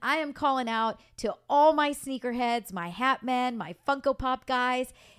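With hardly any pauses, a loud woman speaks at a high pitch with ordinary pitch variation on a very clean recording with a silent background. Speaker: mortgage broker podcast host. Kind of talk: casual interview chat. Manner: loud talker.

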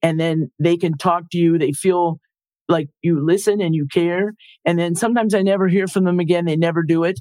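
A woman speaks with a dark, mellow tone at a fairly low pitch. Her pace is fairly quick. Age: 60s. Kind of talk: interview conversation.

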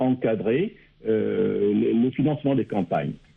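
Very wide swings in pitch from a man talking at a very slow pace. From Gabon. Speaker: political analyst. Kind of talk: radio panel discussion.

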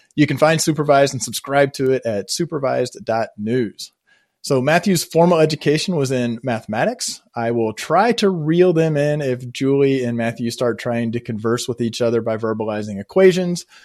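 A man with a plain, everyday voice speaks at medium pitch and a moderate pace, with lively intonation. He hardly pauses, and the background is quiet. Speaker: podcast host. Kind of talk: casual conversation.

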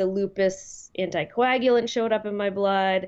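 This woman has a plain, everyday voice, pitched in the middle for a woman, with fairly even intonation. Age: 40s. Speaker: guest with lupus. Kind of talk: casual interview.

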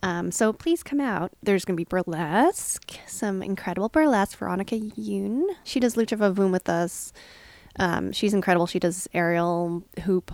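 A woman talks in an ordinary speaking voice at a medium pitch and a moderate pace, with ordinary pitch variation. The sound is dry and close, with no echo. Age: 40s. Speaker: podcast co-host and comedy performer. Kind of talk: casual chat.

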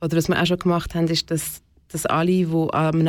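A woman with a plain, everyday voice speaks at a fairly quick pace, her pitch fairly low. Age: 40s. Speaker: community co-founder. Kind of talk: interview.

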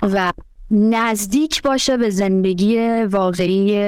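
An unremarkable speaking voice from a woman, mid-range in pitch and ordinary in its pitch variation. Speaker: panel guest. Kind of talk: casual discussion.

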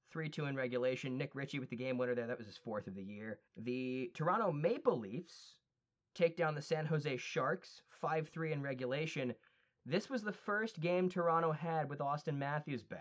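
At a fairly high pitch, a man talks in an unremarkable speaking voice with lively intonation and a moderate pace. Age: 20s. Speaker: hockey podcast host. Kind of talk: scores recap; casual chat.

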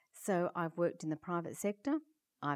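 A woman with an Australian accent speaks at a fairly low pitch, her tone dark and mellow. Her pitch varies in an ordinary way, and the sound is dry and close with no echo. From Perth, Western Australia. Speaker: head of an international aging organisation. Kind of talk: interview.

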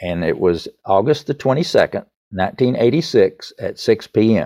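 The background is quiet. A man talks with a Southern US accent. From US South, East Tennessee. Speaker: songwriter. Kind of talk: interview.

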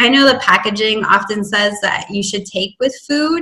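This woman has an ordinary speaking voice, pitched fairly high, and her pitch varies in an ordinary way. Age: 30s. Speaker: fasting coach. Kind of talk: casual interview.

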